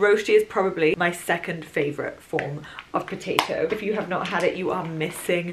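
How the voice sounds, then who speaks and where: With noticeable background noise, a woman speaks at a moderate pace using fairly even intonation. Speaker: vlogger. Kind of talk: casual vlog chat. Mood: cheerful, chatty. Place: home room. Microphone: camera far.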